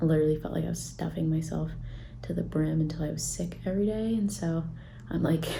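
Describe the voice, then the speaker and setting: In a space with audible room echo, a woman talks at a fairly quick pace. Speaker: fitness vlogger. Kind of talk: vlog. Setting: at home.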